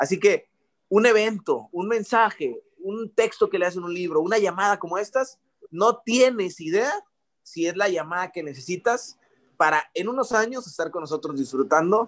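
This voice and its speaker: Using lively intonation, a man speaks at a moderate pace with a high pitch. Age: 20s. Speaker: network marketing distributor. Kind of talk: testimony.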